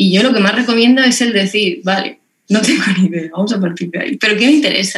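A woman talks at a very fast pace in a fairly high pitch. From Lorca, Murcia, Spain. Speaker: textbook designer. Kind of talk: casual chat. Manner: animated.

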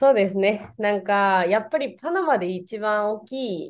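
A woman's medium-pitched voice carries a Spanish accent. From Venezuela. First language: Spanish (speaking Japanese). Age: 20s. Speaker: Japanese teacher. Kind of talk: casual interview chat. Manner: hesitant, many fillers.

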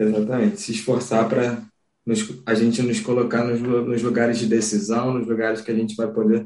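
This man has a dark, mellow tone and a medium pitch. He talks at a moderate pace. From Rio de Janeiro, Brazil. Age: young. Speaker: wheelchair rugby athlete. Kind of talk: casual interview. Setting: home office.

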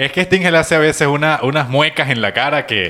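Very fast and animated, the speech races along. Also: man. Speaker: podcast co-host. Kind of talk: casual chat. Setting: studio.

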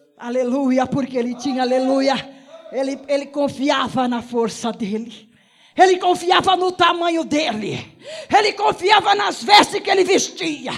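An animated man's voice at an extremely high pitch and fairly slow pace, over noticeable background noise. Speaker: preacher. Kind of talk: sermon, preacher in full flow. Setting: church, evening service. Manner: animated, fervent, punctuated by repeated shouts of 'aleluia'; rhythmic, exhortative, addressing the congregation directly.

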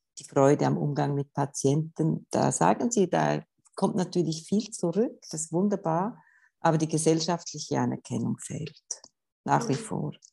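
This woman's voice sits very deep and low, with a dark, mellow tone, some vocal fry, ordinary pitch variation and a moderate pace. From Switzerland, canton Schwyz. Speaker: gender equality official. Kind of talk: interview.

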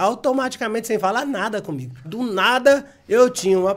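A man is speaking. His pace is moderate. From Bahia, Brazil. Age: 40s. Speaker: video game store owner. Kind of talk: casual interview.

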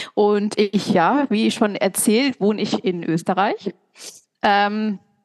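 At a very slow pace and a medium pitch, a woman speaks with very even loudness in a dry, close sound with no echo. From East Westphalia, Germany. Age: 30s. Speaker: podcast co-host. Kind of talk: casual chat.

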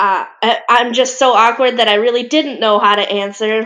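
A woman speaks with an American accent in an ordinary speaking voice. Her pace is moderate and her intonation fairly even. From Michigan, US. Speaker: parent. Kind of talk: casual chat.

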